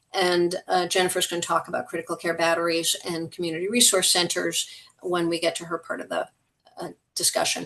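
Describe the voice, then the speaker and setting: A woman with a fairly low pitch, vocal fry and a bright, sharp tone speaks at a fairly quick pace in a monotone, flat intonation. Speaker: utility wildfire response advisor. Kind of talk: presentation at board meeting. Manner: fast.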